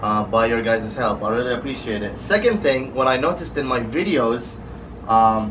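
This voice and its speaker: Noticeable background noise and audible room echo surround the recording. A man speaks in a medium pitch with ordinary pitch variation. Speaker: car vlogger. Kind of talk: casual vlog. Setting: garage. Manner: fast.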